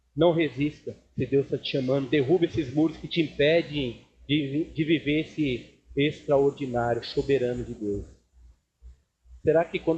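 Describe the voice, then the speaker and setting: With a dark, mellow tone, a man speaks somewhat breathily at medium pitch and a fairly slow pace, keeping his intonation fairly even. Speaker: pastor. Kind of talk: sermon. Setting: church service with congregation.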